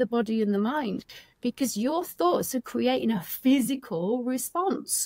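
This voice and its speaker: A woman with a northern English accent, fairly high pitch and lively intonation at a moderate pace. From northern England. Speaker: addiction recovery coach. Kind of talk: podcast interview.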